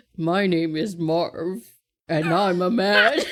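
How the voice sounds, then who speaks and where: A female-sounding voice at middle pitch performs a put-on character voice at a very slow pace. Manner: exaggerated macho.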